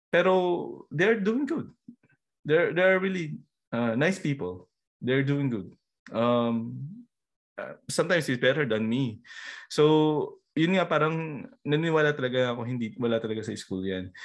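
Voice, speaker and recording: Speaking in a Filipino accent, a man with a fairly high pitch talks at a fairly slow pace, with very wide pitch swings and long, frequent pauses. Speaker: podcast host. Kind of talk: casual interview chat. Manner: halting, code-switching Taglish with fillers.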